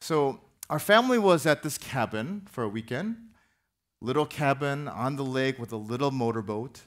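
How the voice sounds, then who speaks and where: A plain, everyday voice with lively intonation at a moderate pace, against a quiet background. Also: man, fairly high pitch for a man. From US Midwest, Minneapolis. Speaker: pastor. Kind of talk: sermon. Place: church. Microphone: headset.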